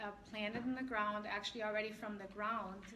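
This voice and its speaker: Noticeable background noise and audible room echo surround a woman speaking with a slight German accent. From Germany. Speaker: essential oils seller and class presenter. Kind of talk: product class presentation. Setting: live class with audience, streamed on Facebook.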